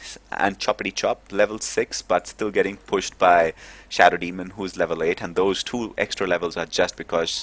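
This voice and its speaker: A man's very deep, low voice with big swings in loudness over a quiet background. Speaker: esports commentator. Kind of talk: live commentary. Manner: fast; animated.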